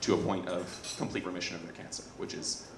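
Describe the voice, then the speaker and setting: There is audible room echo and light background noise as a man speaks. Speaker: presenter. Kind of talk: presentation talk. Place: hall. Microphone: handheld.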